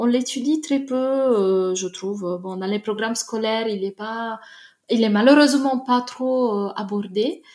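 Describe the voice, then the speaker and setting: This woman's pitch is fairly high with ordinary variation. Her pace is fairly slow. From Italy, Naples. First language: Italian (speaking French). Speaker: literature researcher. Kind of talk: casual interview. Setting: remote call. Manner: halting, frequent repetitions.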